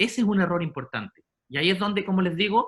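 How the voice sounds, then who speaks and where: A man with a Chilean accent speaks at a very fast pace. His pitch is high, with ordinary variation. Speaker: sports psychologist. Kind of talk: lecture. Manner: halting.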